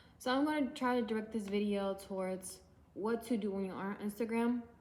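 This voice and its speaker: Against noticeable background noise, a woman talks very fast at a medium pitch with fairly even intonation. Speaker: independent musician and YouTuber. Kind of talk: casual tutorial vlog. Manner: casual, with many fillers.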